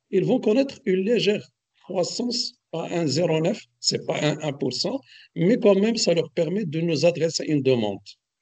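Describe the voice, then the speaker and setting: A man speaks at a moderate pace in a high voice with a dark, mellow tone. His intonation is lively. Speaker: economics expert speaker. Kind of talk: webinar lecture. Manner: hesitant, many fillers; loud, projecting voice.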